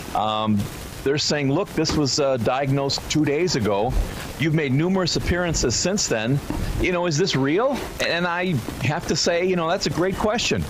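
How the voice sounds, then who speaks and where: With lively intonation and very even loudness, a man speaks at a moderate pace and fairly high pitch against noticeable background noise. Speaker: radio show guest, political commentator. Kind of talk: radio interview answer on politics.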